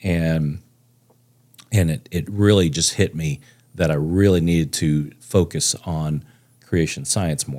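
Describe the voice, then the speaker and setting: A man with an American accent speaks at a very slow pace with long, frequent pauses. His voice is very deep and low, with a dark, mellow tone. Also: ordinary pitch variation. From Texas (Plano). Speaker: amateur astronomer and real estate agent. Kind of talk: casual chat. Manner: halting, many fillers.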